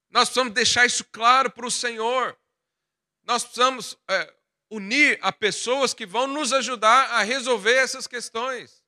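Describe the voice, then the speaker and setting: Raised and projected, a man's extremely high voice carries a bright, sharp tone at a fairly slow pace, on a very clean recording with a silent background. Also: dry, close sound with no echo. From Goiás, central Brazil. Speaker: pastor. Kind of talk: sermon.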